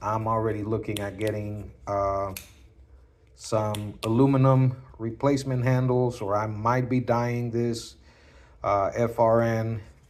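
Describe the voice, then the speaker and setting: A man's medium-pitched voice at a fairly slow pace. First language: not English. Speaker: knife collector YouTuber. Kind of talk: casual show-and-tell video. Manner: halting, many fillers.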